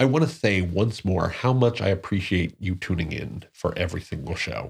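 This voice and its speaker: A somewhat breathy man with an American accent is heard in a very clean recording with a silent background. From Newark, New Jersey. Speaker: podcast host. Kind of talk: solo podcast monologue.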